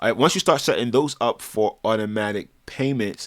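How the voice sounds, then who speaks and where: This man has a normal speaking voice at a medium pitch with ordinary pitch variation, talking at a fairly quick pace. The recording is very clean, with a silent background. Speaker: personal finance vlogger. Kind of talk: advice monologue.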